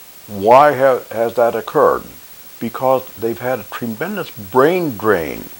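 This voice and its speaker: A man's voice at a very slow pace with ordinary pitch variation, over noticeable background noise. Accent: American. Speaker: war veteran. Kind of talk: monologue commentary. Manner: halting.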